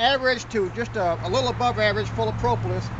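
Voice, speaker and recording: A man talking at a fairly quick pace against noticeable background noise. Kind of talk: tutorial. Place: farm.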